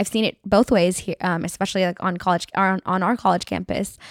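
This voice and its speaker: A woman with an American accent speaks at a moderate pace and medium pitch in a dry, close sound with no echo on a very clean recording with a silent background. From US West (San Francisco Bay Area). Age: 20s. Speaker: university student. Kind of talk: casual chat.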